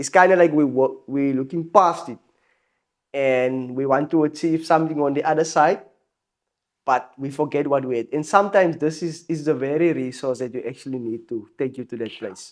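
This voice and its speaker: A fairly high-pitched man's voice in a South African accent. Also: ordinary pitch variation, moderate pace. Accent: full South African. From South Africa, Helenvale, Port Elizabeth area. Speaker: musician. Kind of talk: casual chat. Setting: studio.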